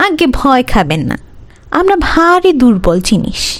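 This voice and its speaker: A woman puts on a nasal, high-pitched character voice, swinging her pitch very widely at a fairly slow pace. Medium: read story. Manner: polite, hesitant, self-correcting.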